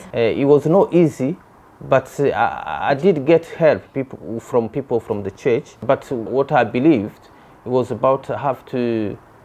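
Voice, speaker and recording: A man's dark, mellow tone with a non-native accent, at a fairly slow pace. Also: medium pitch for a man, ordinary pitch variation. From DR Congo. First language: not English. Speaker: migrant interviewee. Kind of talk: interview testimony.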